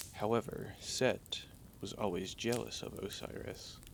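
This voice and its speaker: This is a man's voice. It carries vocal fry. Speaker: ASMR vtuber. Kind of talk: sleep story. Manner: soft-spoken, slow.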